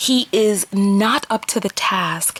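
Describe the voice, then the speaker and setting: A woman with a strong New York accent speaks at a fairly high pitch in an animated tone. Noticeable background noise runs underneath her. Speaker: vlogger and relationship coach. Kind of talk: opinion vlog monologue.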